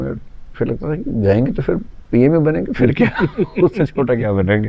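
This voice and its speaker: At a moderate pace, a man with a medium-pitched voice speaks with vocal fry and lively intonation. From Delhi, India. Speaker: educator, UPSC coaching teacher. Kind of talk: interview answer.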